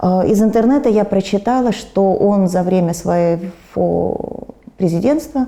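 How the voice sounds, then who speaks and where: A woman talks fairly slowly, with background noise clearly noticeable. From former USSR. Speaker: war refugee, pensioner. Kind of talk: interview answer. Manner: calm, stoic.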